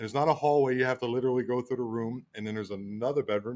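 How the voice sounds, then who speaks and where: Medium-pitched male speech with an American accent and ordinary pitch variation. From Baltimore, Maryland, US. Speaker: podcast guest. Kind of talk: casual storytelling. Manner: halting, many fillers.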